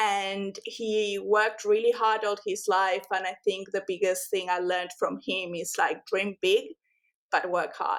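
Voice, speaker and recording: In an Argentine accent, the speaker talks at a fairly slow pace with monotone, flat intonation. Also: woman, medium pitch for a woman. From Argentina, Buenos Aires. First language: Spanish. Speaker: rug and homewares brand founder. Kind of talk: podcast interview. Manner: many filler words (um, like).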